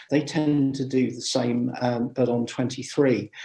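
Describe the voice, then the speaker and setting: With a dark, mellow tone and some vocal fry, a man talks at a moderate pace and medium pitch, his intonation fairly even. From England, Gloucestershire. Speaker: amateur radio speaker. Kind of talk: Q&A after a talk. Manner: hesitant, many fillers.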